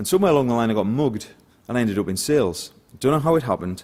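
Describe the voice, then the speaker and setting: Speaking at a very fast pace, a man with a northeast English accent uses lively intonation. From northeast England. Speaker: sales director. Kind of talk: conference talk.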